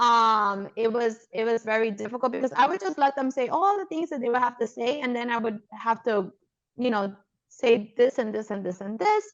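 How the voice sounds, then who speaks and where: A woman with an American accent talks at a moderate pace, her fairly high voice showing ordinary pitch variation. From New York (Brooklyn). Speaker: podcast host, pediatrician. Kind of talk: casual interview chat.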